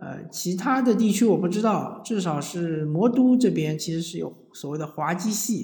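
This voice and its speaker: Speaking at a fairly slow pace, a man with a high voice uses lively intonation, and audible room echo surrounds his words. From southern China. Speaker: podcast host. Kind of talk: casual monologue. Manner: hesitant, frequent fillers.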